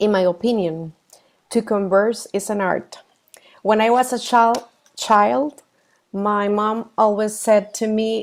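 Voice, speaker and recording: A woman with a Costa Rican accent at a very slow pace. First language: Spanish. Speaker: professional coach. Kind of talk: workshop presentation. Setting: video call. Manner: halting, with fillers and self-corrections.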